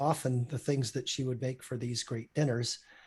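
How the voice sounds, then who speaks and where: Somewhat breathy, a man speaks in a medium pitch with monotone, flat intonation. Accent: Canadian. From Saskatchewan, Canada. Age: 60s. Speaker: physician. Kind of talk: interview.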